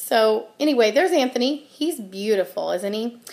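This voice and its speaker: Her pitch moves in an ordinary way. The woman keeps to a moderate pace. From US Midwest. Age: 30s. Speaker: channel host. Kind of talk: casual vlog monologue. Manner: casual with many filler ums. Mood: friendly, self-deprecating humor. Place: home room. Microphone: webcam.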